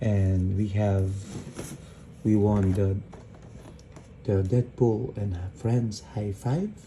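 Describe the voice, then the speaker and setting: Quiet speech at a very slow pace. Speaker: toy collector YouTuber. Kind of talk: casual unboxing vlog. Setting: at home at night. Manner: hushed, quiet voice.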